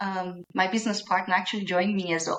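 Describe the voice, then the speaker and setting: A woman with a Brazilian Portuguese accent speaks at a medium pitch with fairly even intonation. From Brazil, Minas Gerais. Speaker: small business owner. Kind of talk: podcast interview.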